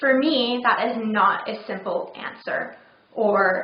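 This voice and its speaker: A woman's fairly high voice, with fairly even intonation, comes through noticeable background noise and audible room echo. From third culture kid: England, California, Netherlands. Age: 30s. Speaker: vlogger with chronic migraine. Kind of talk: personal video blog.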